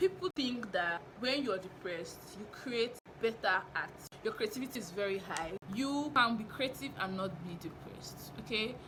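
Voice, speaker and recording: A woman with a fairly high voice speaks in an animated tone at a moderate pace. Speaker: novelist and writing teacher, vlogger. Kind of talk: casual vlog monologue. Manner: loud.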